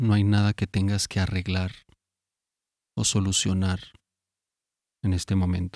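With a very deep, low pitch, a man speaks in a calm, monotone, flat delivery at very even loudness, leaving long, frequent pauses. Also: very clean recording, silent background. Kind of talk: guided sleep meditation. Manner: slow, soft-spoken, calm; long pauses between short phrases.

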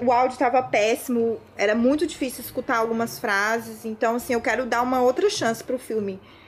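A woman speaks at a high pitch with noticeable background noise. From Brazil, Tocantins. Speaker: journalist. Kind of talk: casual chat.

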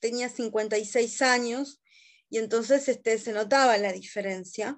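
Very slow speech in a Rioplatense accent with ordinary pitch variation, against a quiet background. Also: woman. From Uruguay, Montevideo. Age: 30s. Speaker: guest, adoptee. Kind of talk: casual chat. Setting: video call.

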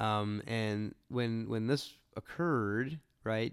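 A man talks in a plain, everyday voice. His pitch is medium and his intonation fairly even. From Barrhaven area, Ottawa, Canada. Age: 40s. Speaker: podcast host, dental marketing consultant. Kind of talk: solo podcast monologue. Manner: repetitive, many fillers and restarts.

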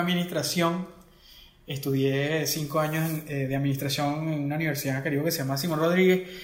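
Over noticeable background noise, a man speaks at a very fast pace with a fairly high pitch and fairly even intonation. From Venezuela, Acarigua (Portuguesa). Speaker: music video director. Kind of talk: interview.

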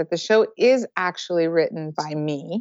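A woman speaks in a plain, everyday voice, fairly low-pitched, with an American accent at a moderate pace. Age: 40s. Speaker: circus director and choreographer. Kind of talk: interview.

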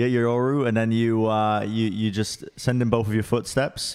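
This man speaks in an English accent at medium pitch, with fairly even intonation. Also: very clean recording, silent background. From England. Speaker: esports podcast host. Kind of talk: casual chat. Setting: studio.

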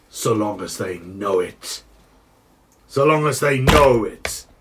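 Using a put-on character voice, a man speaks at a fairly slow pace in a rumbling, raspy tone with a medium pitch. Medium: actual play. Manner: slow, commanding.

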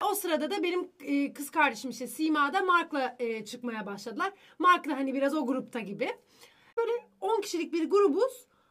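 The tone is bright and sharp, with very wide pitch swings. The pace is moderate. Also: woman, high pitch for a woman. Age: 20s. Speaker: social media influencer. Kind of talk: casual chat. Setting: studio.

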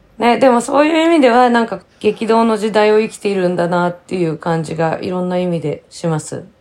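An ordinary speaking voice moves at a fairly quick pace with hardly any pauses. The intonation is lively. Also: woman, medium pitch for a woman. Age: 50s. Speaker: podcast co-host. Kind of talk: casual chat.

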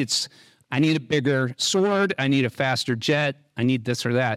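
A man talks at a fairly slow pace with ordinary pitch variation, captured on a very clean recording over a silent background. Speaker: program manager. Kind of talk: conference talk. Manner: walks around while speaking.

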